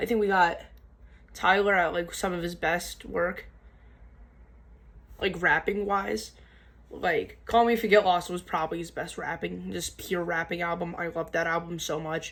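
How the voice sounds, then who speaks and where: Speech at a moderate pace carries vocal fry and fairly even intonation, broken by long, frequent pauses. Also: woman, fairly low pitch for a woman. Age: young. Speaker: music reviewer / YouTuber. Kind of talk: casual album review to camera. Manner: halting, stuttering with many fillers.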